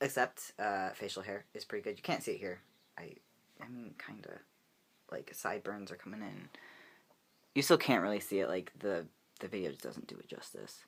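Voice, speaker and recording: Over a very clean recording with a silent background, a man with a fairly low pitch and vocal fry talks at a fairly quick pace, with long, frequent pauses. His loudness swings a lot, while his pitch variation is ordinary. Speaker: vlogger. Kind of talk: casual vlog update. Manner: casual with many fillers.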